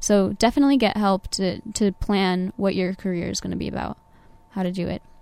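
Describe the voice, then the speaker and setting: Speaking fairly quickly in a Californian accent, a woman uses a medium pitch and fairly even intonation. Her tone is dark and mellow. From Southern California (Orange County). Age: 20s. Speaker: Navy veteran, engineering student. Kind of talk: interview. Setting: studio.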